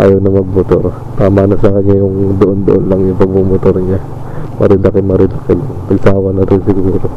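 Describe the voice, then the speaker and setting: Amid noticeable background noise and audible room echo, a man speaks fairly quickly at a fairly low pitch in a monotone, flat intonation. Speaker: motorcycle vlogger. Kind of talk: casual vlog narration while riding. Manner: whispering, soft-spoken.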